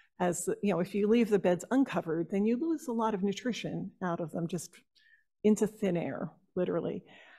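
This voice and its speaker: This woman speaks with an American accent at a medium pitch. Her voice is somewhat breathy, with a dark, mellow tone. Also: ordinary pitch variation, fairly quick pace, quiet background. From New Jersey. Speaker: horticulturist and master gardener; presenter. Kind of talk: workshop presentation. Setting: stage with audience.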